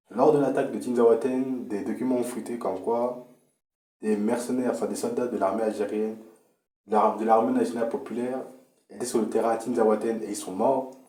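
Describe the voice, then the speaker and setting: A man speaks at a fairly quick pace with a medium pitch and fairly even intonation. Room echo is audible. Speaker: political commentator. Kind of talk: political monologue. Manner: halting.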